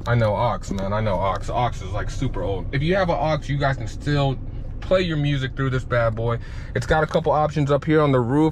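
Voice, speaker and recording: Amid audible room echo and noticeable background noise, a man with a fairly high pitch talks at a fairly quick pace in an animated tone, with ordinary pitch variation. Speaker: car vlogger. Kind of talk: car review walkthrough. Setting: in a car. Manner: casual, animated; loud.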